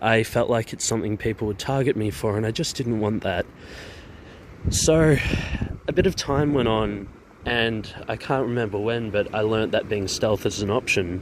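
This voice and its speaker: A man with an Australian accent, medium pitch and ordinary pitch variation, at a moderate pace amid noticeable background noise. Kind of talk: personal vlog monologue.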